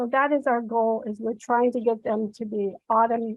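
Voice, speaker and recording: Moderate pace and fairly high pitch in a woman's normal speaking voice. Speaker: reading specialist teacher. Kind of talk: conference presentation.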